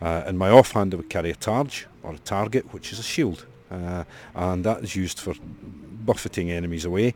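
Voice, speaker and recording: A man with a Scottish accent and a very deep, low pitch speaks at a fairly quick pace, with ordinary pitch variation and big swings in loudness. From Scotland. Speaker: historical reenactor. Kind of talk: interview.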